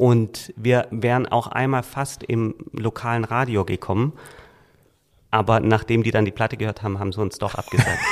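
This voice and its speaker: A man talks at a moderate pace and medium pitch in a normal speaking voice, his intonation fairly even. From Swabia, Germany (Reutlingen). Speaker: book publisher and author. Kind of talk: casual interview.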